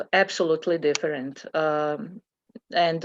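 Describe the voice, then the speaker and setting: A woman with a non-native accent speaks in a very deep, low pitch at a fairly slow pace. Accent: foreign. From Bosnia and Herzegovina (former Yugoslavia). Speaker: committee member presenting to school board. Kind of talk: public meeting discussion. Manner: halting, many fillers.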